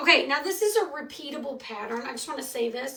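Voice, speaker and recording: With a Michigan accent, a woman speaks in a bright, sharp tone, her pitch swinging very widely. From Michigan, US Midwest. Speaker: craft tutorial host. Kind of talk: live craft tutorial. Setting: livestream. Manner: casual, chatty.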